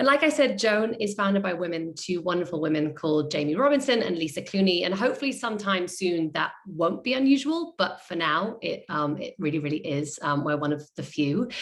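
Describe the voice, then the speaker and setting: A woman talks at a fairly quick pace with hardly any pauses and very wide pitch swings. Noticeable background noise runs underneath. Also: medium pitch for a woman. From outside the US. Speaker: creative agency director. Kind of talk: panel introduction.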